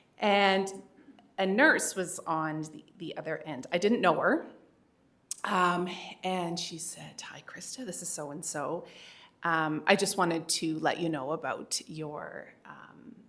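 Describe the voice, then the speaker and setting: A woman speaks at a very slow pace with a fairly low pitch and ordinary pitch variation. Her loudness swings widely, and the room echo is audible. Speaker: keynote speaker and parent advocate. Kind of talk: keynote speech. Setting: stage with audience and microphone. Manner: conversational, many fillers.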